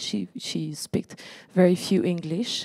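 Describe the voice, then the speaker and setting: A woman talks in a French accent. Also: quiet background. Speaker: exhibition curator and moderator; moderator. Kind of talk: formal introduction. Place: garden. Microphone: handheld.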